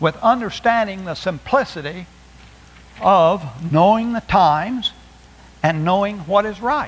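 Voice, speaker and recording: A man with a high voice speaks at a fairly slow pace, his intonation lively. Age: 70s. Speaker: preacher. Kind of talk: sermon. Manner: halting.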